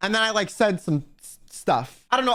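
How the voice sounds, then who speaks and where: A man's raised, projected voice at a high pitch, with an American accent, a bright, sharp and animated tone, lively intonation and a fairly quick pace, on a very clean recording with a silent background. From United States. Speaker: vtuber. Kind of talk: casual storytelling.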